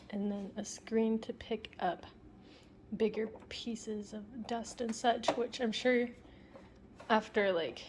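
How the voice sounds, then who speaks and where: A woman with an American accent speaks very slowly in a fairly high, somewhat breathy voice. Her intonation is flat and monotone, with long, frequent pauses. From England and Germany. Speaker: vlogger. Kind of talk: casual vlog talk.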